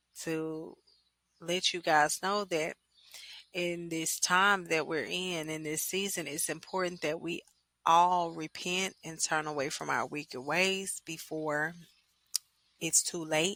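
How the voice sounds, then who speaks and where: A bright, sharp tone in a Louisiana accent, very slow and monotone, with long, frequent pauses, on a very clean recording with a silent background. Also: woman. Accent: US Southern (Louisiana). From Louisiana, West Monroe. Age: 20s. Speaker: podcaster. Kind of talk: personal monologue podcast.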